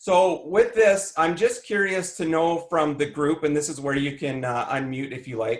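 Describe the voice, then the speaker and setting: A man speaks in a Canadian accent at a fairly slow pace. His pitch varies in an ordinary way. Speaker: emergency management trainer and coach. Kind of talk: conference presentation. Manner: loud.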